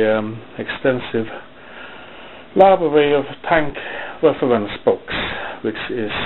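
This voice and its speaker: A strong non-native accent comes through at a fairly slow pace, broken by long, frequent pauses. Background noise is noticeable. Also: man. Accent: thick non-native. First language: not English. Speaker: hobby modeller, video maker. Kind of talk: casual show-and-tell video. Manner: halting, with fillers.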